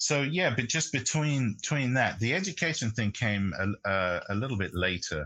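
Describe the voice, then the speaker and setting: With a British accent, this voice has a bright, sharp tone, very wide pitch swings and very even loudness, moving at a moderate pace with hardly any pauses against a quiet background. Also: man, medium pitch for a man. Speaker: jazz pianist and radio host. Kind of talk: interview. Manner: halting, many fillers.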